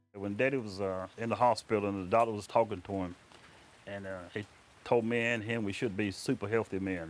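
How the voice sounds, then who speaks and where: A man with an American accent has a plain, everyday voice, fairly low in pitch, with fairly even intonation at a fairly quick pace. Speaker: farmer. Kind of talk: interview.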